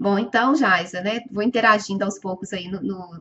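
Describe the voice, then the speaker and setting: A woman speaks at a fairly slow pace. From Minas Gerais, Brazil. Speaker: webinar presenter and educator. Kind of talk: live webinar presentation. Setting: online webinar. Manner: hesitant, many filler sounds.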